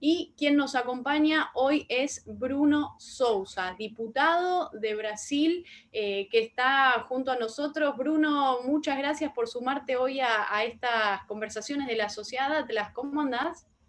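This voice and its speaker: With a Rioplatense accent, a woman speaks at a very slow pace with hardly any pauses, using a high pitch and ordinary pitch variation. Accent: Argentine Spanish (rioplatense). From Argentina. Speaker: interviewer, online talk show host. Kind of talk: interview. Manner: hesitant, many fillers.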